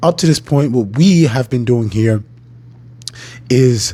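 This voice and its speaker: Somewhat breathy male speech in a dark, mellow tone, its pitch varying in an ordinary way. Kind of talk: educational talk. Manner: formal.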